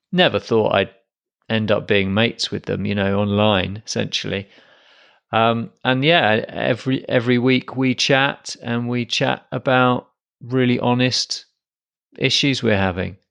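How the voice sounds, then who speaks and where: A man speaks at a medium pitch and a fairly slow pace. The background is quiet. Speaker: podcast host. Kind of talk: solo podcast monologue. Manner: monotone.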